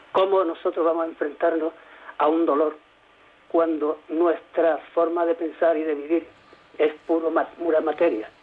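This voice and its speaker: A high-pitched man talks at a fairly slow pace in a monotone, flat intonation, his loudness very even. He leaves long, frequent pauses. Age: 70s. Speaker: retired nurse. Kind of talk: radio call-in. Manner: halting.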